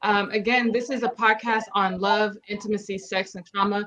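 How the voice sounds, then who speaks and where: With fairly even intonation, a woman uses a normal speaking voice at medium pitch. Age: 40s. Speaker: podcast host. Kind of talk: casual chat.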